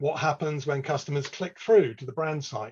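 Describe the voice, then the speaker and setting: A man with an English accent, his voice fairly high-pitched and somewhat breathy, at a fairly quick pace. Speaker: e-commerce analyst presenter. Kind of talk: webinar presentation. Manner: casual, filler-heavy.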